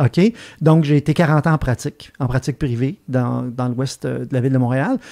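Against a quiet background, a man's dark, mellow tone moves at a moderate pace with fairly even intonation. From Quebec. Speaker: retired veterinarian; podcast guest. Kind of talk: casual chat. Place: studio. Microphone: studio mic.

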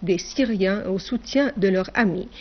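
Using an unremarkable speaking voice, a woman talks at a moderate pace with ordinary pitch variation. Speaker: TV news anchor. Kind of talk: formal state-TV news bulletin reading. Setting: TV studio. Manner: formal, measured and declamatory, reading long official sentences.

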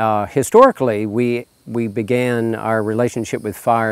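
Against a quiet background, a man with a fairly low pitch talks at a moderate pace with fairly even intonation, the sound dry with no echo. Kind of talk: interview answer. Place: farm machine. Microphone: lapel.

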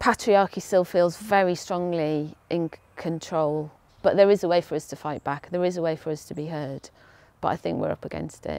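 A woman speaks at a moderate pace in a fairly low voice with fairly even intonation, in a dry recording with no echo. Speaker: interviewee. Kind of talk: interview answer. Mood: earnest, concerned. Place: garden. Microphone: lapel.

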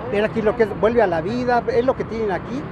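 A man talks at a fairly quick pace over noticeable background noise, the sound dry with no echo. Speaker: street food vlogger. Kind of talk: casual vlog chat. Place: street. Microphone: phone near.

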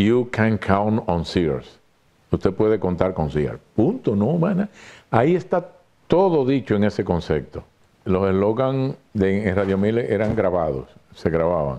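A man speaks fairly slowly in a fairly low, dark, mellow voice. His pitch swings very widely. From Dominican Republic. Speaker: radio announcer, writer and advertising creative. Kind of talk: interview answer about advertising slogans. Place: studio. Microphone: lapel.

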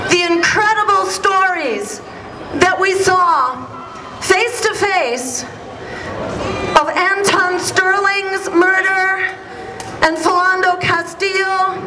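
With crowd noise behind her, a woman uses a raised, projected voice at very even loudness, speaking at a very slow pace with fairly even intonation and long, frequent pauses. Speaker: speaker. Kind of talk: rally speech. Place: street. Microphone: camera far.

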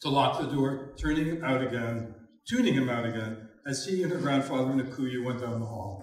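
Someone is reading aloud in a natural voice, with ordinary rise and fall in pitch.

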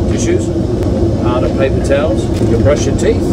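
Moderate pace against loud background noise. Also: man. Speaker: travel vlogger. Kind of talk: casual vlog chat. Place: plane. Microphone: phone near.

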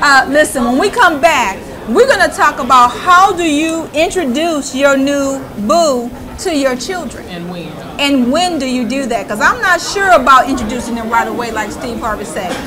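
A raised, projected voice moves at a moderate pace, with big swings in loudness and very wide pitch swings. Noticeable background noise runs underneath. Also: woman, high pitch for a woman. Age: 50s. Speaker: talk show co-host. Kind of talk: live panel discussion. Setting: live show with audience in a bar. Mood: firm, opinionated. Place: meeting room. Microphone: lapel.

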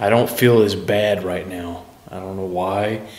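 Amid audible room echo, a man speaks fairly slowly at a fairly low pitch with fairly even intonation. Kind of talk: casual commentary. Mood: uneasy, reflective. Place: hall.

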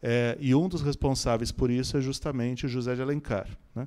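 Against a quiet background, a man with a dark, mellow tone speaks at a moderate pace and a medium pitch. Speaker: professor and panel speaker; professor, speaker. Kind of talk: panel talk to audience. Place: hall. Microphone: handheld.

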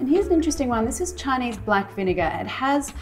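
Clear music is heard in the background. A woman talks over it. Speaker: cooking show host. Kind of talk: tutorial. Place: kitchen.

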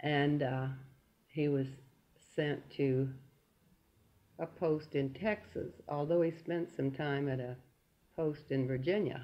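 A woman speaks at a very slow pace in a very deep, low voice. Her intonation is fairly even, broken by long, frequent pauses. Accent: Southern US. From Oklahoma City, USA. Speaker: World War II air raid defense veteran. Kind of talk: oral history interview answer.

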